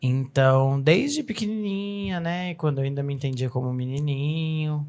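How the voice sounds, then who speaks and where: At a fairly slow pace, a woman speaks with a very deep, low pitch, a dark, mellow tone and ordinary pitch variation. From Brazil, Uberlândia, Minas Gerais. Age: 20s. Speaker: performer. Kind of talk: interview.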